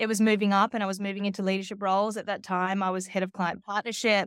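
A woman speaks at medium pitch with an Australian accent. The sound is dry and close with no echo, on a very clean recording with a silent background. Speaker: media agency executive. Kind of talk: interview.

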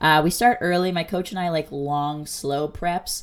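Her very deep, low voice has an animated tone and ordinary pitch variation. The woman speaks at a moderate pace in a very clean recording with a silent background. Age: 20s. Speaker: podcast host and bikini bodybuilding competitor. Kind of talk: casual solo podcast monologue. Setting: home recording for podcast and video at once. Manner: animated, casual with many fillers.

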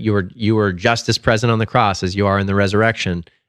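A man speaks at a very fast pace with a fairly low pitch. His intonation stays fairly even against a quiet background. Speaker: podcast co-host. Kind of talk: prayer and casual discussion.

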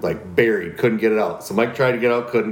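Medium in pitch with ordinary pitch variation, this man has an unremarkable speaking voice. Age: 40s. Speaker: podcast co-host. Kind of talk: casual chat.

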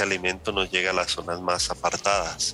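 A man's very deep, low voice comes through with noticeable noise behind it. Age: 30s. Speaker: agronomist. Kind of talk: interview.

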